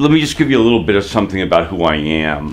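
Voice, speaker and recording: A man speaks over noticeable background noise. The room echo is audible. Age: 50s. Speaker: photographer. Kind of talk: interview testimony. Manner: halting.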